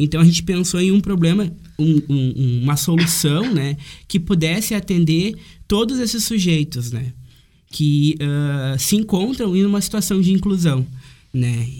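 Here a man speaks fairly slowly, his high-pitched voice carrying a dark, mellow tone. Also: lively intonation. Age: 20s. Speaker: university student. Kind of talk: casual chat.

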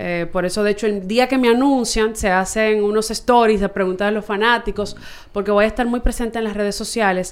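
A woman with a fairly high pitch uses a normal speaking voice at a fairly quick pace, her intonation fairly even. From Santo Domingo, Dominican Republic. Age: 20s. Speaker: baseball team communications staffer. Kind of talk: casual chat.

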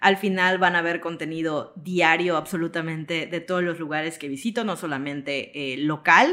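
This woman keeps to a moderate pace with hardly any pauses. Her pitch is fairly low and her intonation fairly even. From Mexico, Yucatán (Mérida). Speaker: travel content creator. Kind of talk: interview conversation.

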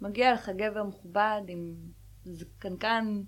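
Her pitch sits in the middle range, and the woman keeps her intonation fairly even. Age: 30s. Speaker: podcast co-host. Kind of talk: casual chat.

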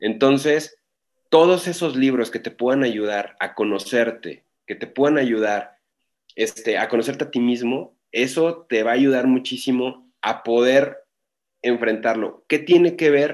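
A man with an ordinary speaking voice, medium-pitched, at a fairly slow pace, with ordinary pitch variation. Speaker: e-commerce and marketing consultant. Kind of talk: interview. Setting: online call.

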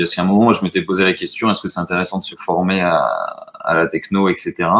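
This man has an ordinary speaking voice. His pitch is fairly low, with ordinary pitch variation. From French Basque Country, rural. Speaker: startup co-founder. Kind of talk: casual live-stream interview.

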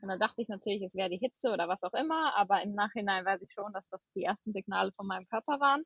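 The voice is a woman's, medium in pitch. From western Germany, near Cologne. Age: 30s. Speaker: medical student. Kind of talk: personal testimony in casual interview. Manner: many filler hesitations.

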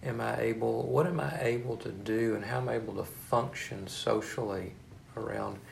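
A man with a fairly low voice speaks with vocal fry. Audible room echo surrounds him. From East Texas. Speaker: hospital chaplain. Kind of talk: interview. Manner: halting, many fillers and repeats.

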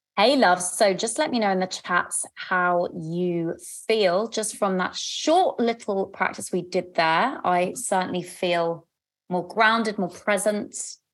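A woman speaks in a London accent at a medium pitch. Her pitch varies in an ordinary way. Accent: southern English (London). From London, England. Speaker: love coach and podcast host. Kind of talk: live group coaching session. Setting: video call. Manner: warm, animated and chatty.

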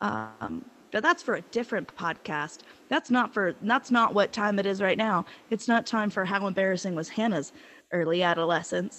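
In an American accent, a woman talks at a moderate pace and medium pitch with ordinary pitch variation, an ordinary speaking voice. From Appalachian South (US). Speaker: podcast co-host. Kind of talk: casual chat.

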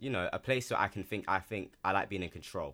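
In a London accent, a man speaks very fast with a bright, sharp tone. The recording is very clean, with a silent background. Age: 20s. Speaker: model. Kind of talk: casual chat.

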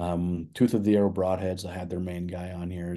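A man's very deep, low voice, dark and mellow in tone, at a fairly quick pace against a quiet background. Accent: American. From Nebraska, US Midwest. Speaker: hunting show host, entrepreneur. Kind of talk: casual interview.

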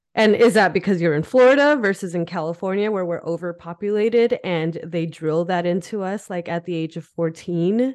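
A woman at a medium pitch, speaking at a fairly quick pace with hardly any pauses and ordinary pitch variation. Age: 30s. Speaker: podcast co-host. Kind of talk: casual chat. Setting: home office.

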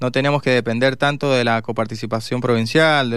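Delivered at a very fast pace, the man's medium-pitched voice stays monotone and flat. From Mendoza, Argentina. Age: 40s. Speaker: mayoral candidate, politician. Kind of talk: radio interview. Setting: radio studio.

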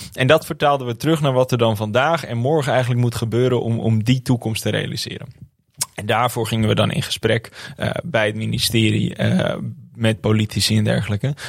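This man talks at a fairly quick pace in a medium pitch, with fairly even intonation. He has a plain, everyday voice. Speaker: climate activist and university student. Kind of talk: interview.

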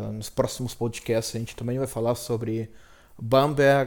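Speaking in a monotone, flat intonation, a man keeps a medium pitch at a moderate pace. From Brazil. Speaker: podcast host. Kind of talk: solo casual monologue. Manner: hesitant, many fillers.

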